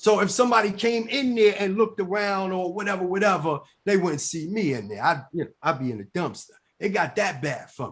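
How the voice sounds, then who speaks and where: A man speaks in an animated tone at a fairly quick pace. His pitch is high and his intonation lively. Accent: New York. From New York, Bronx. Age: 40s. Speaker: recovering addict and author. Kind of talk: casual interview testimony. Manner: animated, repetitive stammering.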